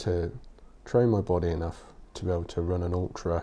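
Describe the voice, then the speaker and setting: Quiet and strained, a man with a very deep, low pitch and a dark, mellow tone speaks at a fairly slow pace with fairly even intonation. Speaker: podcaster, writer. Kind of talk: casual podcast talk. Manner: quiet, restrained.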